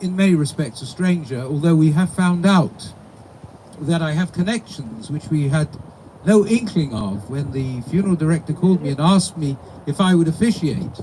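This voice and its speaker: Lively intonation from a man with a fairly high pitch, at a moderate pace over noticeable background noise. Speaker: rabbi officiating a funeral. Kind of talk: eulogy. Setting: funeral service with mourners.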